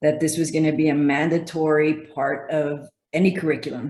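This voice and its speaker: The speaker has a Spanish accent and a monotone, flat intonation. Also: woman. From El Paso, Texas, US-Mexico border. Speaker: physical therapist. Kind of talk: interview.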